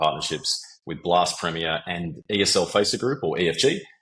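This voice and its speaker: A man's very deep, low voice with an Australian accent and ordinary pitch variation. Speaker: sales executive. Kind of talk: interview. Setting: podcast.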